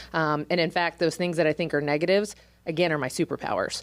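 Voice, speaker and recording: In a very clean recording with a silent background, a woman with an American accent speaks at a very deep, low pitch with fairly even intonation. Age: 30s. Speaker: realtor and association president. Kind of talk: interview. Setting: live stream show. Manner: loud.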